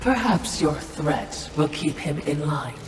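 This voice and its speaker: A put-on character voice at a middle pitch moves at a fairly slow pace, with clear echo and clear background noise. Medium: short film. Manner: dry, sardonic.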